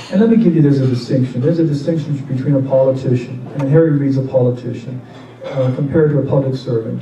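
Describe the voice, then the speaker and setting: A man with an American accent at a very fast pace, fairly even intonation, audible room echo and noticeable background noise. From Nevada. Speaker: political candidate. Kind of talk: campaign town hall Q&A. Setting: public meeting with audience, microphone.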